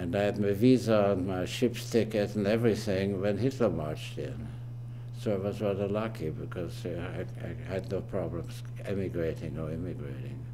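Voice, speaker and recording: A man in a German accent, fairly even intonation and audible room echo. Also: medium pitch for a man, moderate pace. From Austria, Vienna. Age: 80s+. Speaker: family elder interviewee. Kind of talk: oral history interview. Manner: halting.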